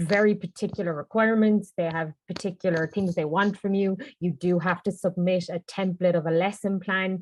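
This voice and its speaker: In a Cork accent, a woman talks at a medium pitch with monotone, flat intonation and a dry, close sound with no echo. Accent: Cork Irish. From Ireland, Cork. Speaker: English teacher abroad. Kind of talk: panel Q&A webinar. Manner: fast.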